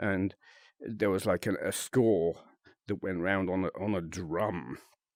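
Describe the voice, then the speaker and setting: A British accent at a fairly slow pace, on a very clean recording with a silent background. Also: man, very deep, low pitch for a man, ordinary pitch variation. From UK. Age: 50s. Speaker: VRChat content creator. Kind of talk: casual monologue to camera. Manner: halting, many fillers.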